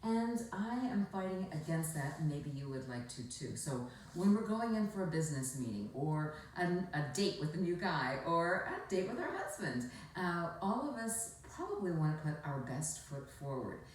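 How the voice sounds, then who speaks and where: With hardly any pauses, the speaker keeps a moderate pace and a relaxed tone, swinging very widely in pitch over noticeable background noise. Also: woman, fairly low pitch for a woman. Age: 60s. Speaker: former shopping channel host and commercial actor. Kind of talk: instructional talk to camera. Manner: relaxed, conversational.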